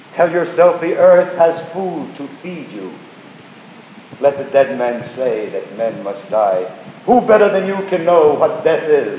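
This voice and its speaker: There is audible room echo and light background noise. A man speaks at a fairly slow pace. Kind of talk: poetry reading. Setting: live stage performance. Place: hall. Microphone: old recording.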